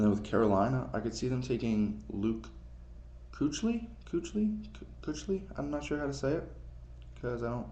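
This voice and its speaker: Amid audible room echo, a man speaks with long, frequent pauses. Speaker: amateur sports vlogger. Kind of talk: casual solo commentary, NFL mock draft. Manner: casual, hesitant with fillers.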